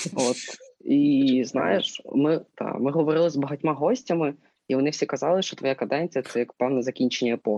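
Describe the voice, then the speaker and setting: The man's voice has a dark, mellow tone and ordinary pitch variation, recorded with a dry, close sound and no echo. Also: moderate pace. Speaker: student podcast co-host. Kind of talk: casual interview. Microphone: sound problems.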